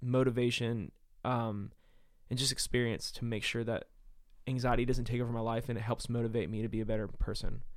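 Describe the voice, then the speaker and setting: A man speaks at a medium pitch in a monotone, with flat intonation. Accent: American. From US South, Nashville, Tennessee. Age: 30s. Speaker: singer-songwriter. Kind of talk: casual chat. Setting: abroad in Africa, informal.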